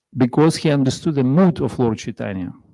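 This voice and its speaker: A man with a strong non-native accent speaks in a medium pitch with a dark, mellow tone. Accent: heavy foreign. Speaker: visiting monk and speaker. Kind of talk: religious class. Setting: temple with audience. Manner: halting.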